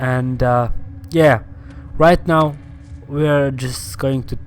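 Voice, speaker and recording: The pace is very slow. The speech carries a non-native accent. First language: not English. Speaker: gaming YouTuber. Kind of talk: gameplay commentary. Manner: hesitant, many fillers.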